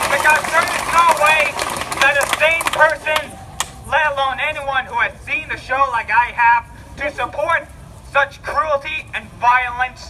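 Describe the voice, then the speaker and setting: With an extremely high pitch for a man, he projects a raised voice at a fairly slow pace, keeping his intonation fairly even. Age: 20s. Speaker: college student. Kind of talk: public speech at a rally. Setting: outdoors vigil crowd. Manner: stuttering, repetitive.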